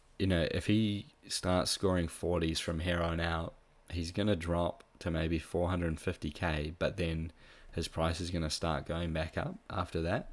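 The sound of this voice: The man's pitch is low and his intonation fairly even. He speaks at a fairly slow pace.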